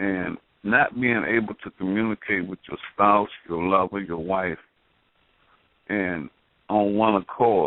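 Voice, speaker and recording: This man's voice is fairly low in pitch, with fairly even intonation. It is an ordinary speaking voice. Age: 60s. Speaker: call-in participant on talk radio. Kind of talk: casual chat.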